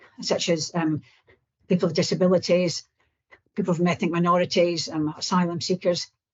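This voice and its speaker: A woman's fairly low voice comes across as somewhat breathy. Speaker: research programme presenter. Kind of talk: presentation. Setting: video call into a meeting. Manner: halting, repeated syllables.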